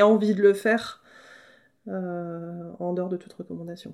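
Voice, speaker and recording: A woman with an ordinary speaking voice, fairly slow delivery and fairly even intonation, on a very clean recording with a silent background. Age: 30s. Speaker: agricultural trainer and farmer. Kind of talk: interview.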